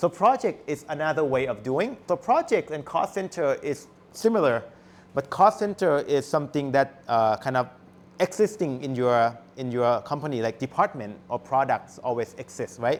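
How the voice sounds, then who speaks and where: A man speaks with a fairly high pitch at a moderate pace. His intonation is lively. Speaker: university lecturer. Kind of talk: lecture. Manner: halting.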